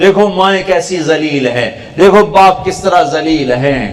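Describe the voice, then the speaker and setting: Amid noticeable background noise, a man speaks at a high pitch with lively intonation. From Pakistan. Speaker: Islamic preacher. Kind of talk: religious sermon. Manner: impassioned, pleading.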